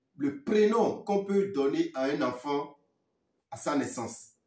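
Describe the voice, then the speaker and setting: A man talks with lively intonation. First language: Fon (speaking French). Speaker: spiritual teacher. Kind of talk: talk to viewers; sales pitch.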